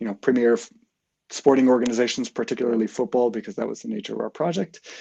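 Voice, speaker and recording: Talking at a very fast pace, a man with an American accent has a medium pitch and a dark, mellow tone with vocal fry. His pitch varies in an ordinary way, and the sound is dry and close with no echo. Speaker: sports technology consultant, program alumnus. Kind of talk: live interview.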